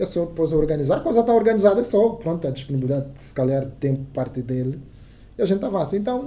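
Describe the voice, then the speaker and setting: A man speaks very fast in an Angolan accent, his pitch high and swinging very widely. His tone is dark and mellow, with big swings in loudness. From Angola, Soyo (Zaire province). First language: Kissolongo (speaking Portuguese). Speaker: radio journalist. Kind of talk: casual interview chat. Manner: halting, many repetitions.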